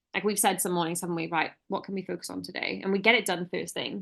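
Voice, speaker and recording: A woman speaks with vocal fry at a medium pitch, her intonation fairly even. The background is quiet. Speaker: relationship podcast co-host. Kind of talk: casual chat. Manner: fast.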